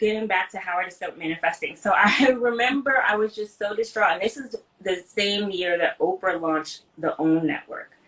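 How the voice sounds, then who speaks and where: A woman with an unremarkable speaking voice and an American accent, fairly quick and lively in intonation, with hardly any pauses. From Brooklyn, New York. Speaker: entrepreneur, founder of a digital media platform. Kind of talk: interview, casual conversation.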